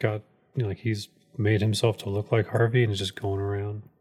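A man's fairly low voice in a flat, monotone delivery. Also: very clean recording, silent background. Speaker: podcast co-host. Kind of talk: casual chat.

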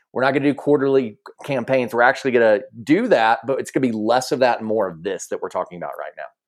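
A man talks very fast with a Southern US accent. His loudness swings widely. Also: medium pitch for a man, ordinary pitch variation. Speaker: podcast host. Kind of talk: casual conversation.

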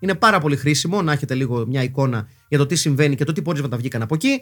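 The speaker is a man talking at a very fast pace. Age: 40s. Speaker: podcast host. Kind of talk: casual monologue podcast. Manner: halting, frequent fillers.

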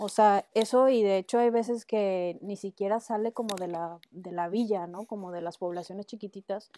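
In a Mexican accent, a woman speaks at a moderate pace and medium pitch with a dark, mellow tone and ordinary pitch variation, the sound dry and close with no echo. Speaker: ceramic artist. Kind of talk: casual chat.

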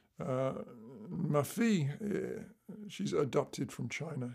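A man's fairly high voice in a dark, mellow tone with vocal fry and very wide pitch swings. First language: English (speaking French). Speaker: musician. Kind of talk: interview.

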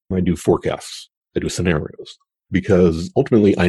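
Speaking at a fairly quick pace, a man with a very deep, low pitch has a dark, mellow, somewhat breathy tone and ordinary pitch variation. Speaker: futurist. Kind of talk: interview conversation about the future. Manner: thoughtful, hesitant with restarts.

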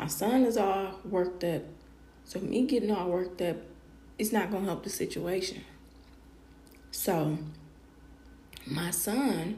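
Amid audible room echo, a woman of medium pitch speaks at a fairly slow pace with ordinary pitch variation and long, frequent pauses. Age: 30s. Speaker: podcast host, mother. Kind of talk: casual personal monologue. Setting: live podcast stream.

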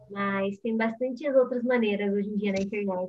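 A woman with a plain, everyday voice, medium pitch, fairly even intonation, and a fairly quick pace. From Brazil, São Paulo state. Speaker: singer and YouTuber. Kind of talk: casual interview.

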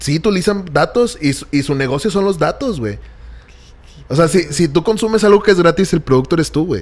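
With a Mexican accent, a high-pitched man talks at a fairly quick pace with lively intonation. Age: 20s. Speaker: digital marketing creative. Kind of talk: casual chat. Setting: studio.

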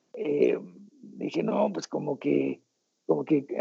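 Here a man talks at a very slow pace. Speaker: rock guitarist. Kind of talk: interview.

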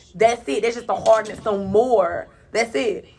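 This woman's voice sits fairly high and swings very widely in pitch. She talks at a moderate pace over noticeable background noise. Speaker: radio show co-host. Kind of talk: casual chat.

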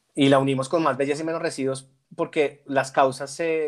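The man's voice sits fairly high in pitch, and his intonation stays fairly even. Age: 30s. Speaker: corporate sustainability manager. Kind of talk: interview. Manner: halting.

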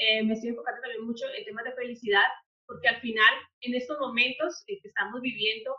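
Her high voice lively in intonation, a woman talks at a fairly quick pace. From Colombia, Popayán. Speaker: HR consultant. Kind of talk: interview. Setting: podcast.

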